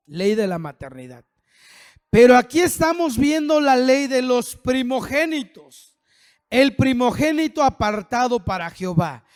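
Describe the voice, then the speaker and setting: This man talks at a fairly slow pace with lively intonation and an extremely high pitch. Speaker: pastor. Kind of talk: sermon.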